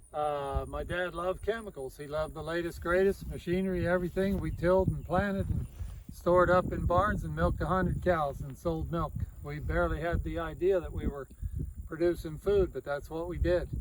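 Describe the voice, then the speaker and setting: Fairly quick speech from a man, noticeable noise in the background. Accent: American. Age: 60s. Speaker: farmer. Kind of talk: casual interview, personal story.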